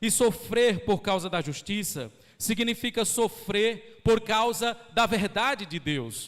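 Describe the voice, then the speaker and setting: His pitch high for a man and his pitch variation ordinary, a man talks at a very slow pace. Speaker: pastor. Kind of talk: sermon. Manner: slowed down on purpose.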